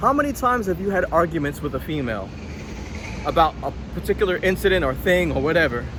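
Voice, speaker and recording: Over noticeable background noise, a man speaks at a very fast pace with very wide pitch swings. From Jamaica. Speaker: vlogger. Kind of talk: casual monologue storytelling. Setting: at home, apartment.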